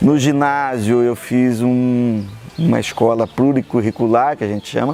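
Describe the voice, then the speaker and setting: A man's medium-pitched voice moves at a moderate pace with ordinary pitch variation, set against noticeable background noise. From São Paulo state, Brazil. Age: 60s. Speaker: engineer and consultant. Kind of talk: interview.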